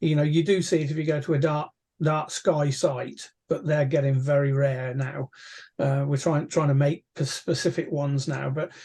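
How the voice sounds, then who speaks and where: This man has a fairly high, somewhat breathy voice with a dark, mellow tone. He speaks at a moderate pace with monotone, flat intonation. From England. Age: 60s. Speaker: amateur astronomer, astronomy society chair; guest. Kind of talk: casual interview. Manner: hesitant, many fillers and repeats. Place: home room. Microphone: video call.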